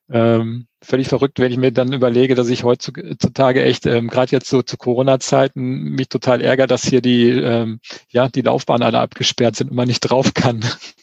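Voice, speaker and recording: At a moderate pace and medium pitch, a man with a plain, everyday voice talks with hardly any pauses and fairly even intonation, in a dry, close sound with no echo. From Hesse, Germany (Eschborn near Frankfurt). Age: 40s. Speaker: amateur triathlete. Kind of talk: casual interview.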